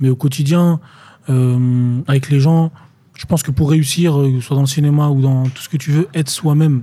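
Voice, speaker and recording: A man's somewhat breathy voice, fairly high-pitched, with a dark, mellow tone and fairly even intonation. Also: moderate pace. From France, Tours. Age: 20s. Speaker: actor. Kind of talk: casual interview chat.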